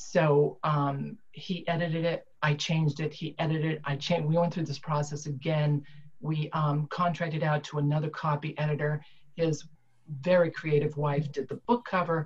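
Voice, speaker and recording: A woman with a very deep, low pitch speaks in a somewhat breathy, monotone voice with flat intonation. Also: moderate pace. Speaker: retired IT director turned author. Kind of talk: panel discussion. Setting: video call. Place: home room. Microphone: webcam.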